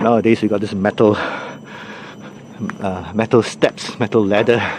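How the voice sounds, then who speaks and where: Over noticeable background noise, a man speaks at a moderate pace with a fairly low pitch and monotone, flat intonation. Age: 60s. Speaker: hiking vlogger. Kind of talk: vlog narration while hiking. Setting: outdoors on a forest trail. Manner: casual, hesitant with fillers.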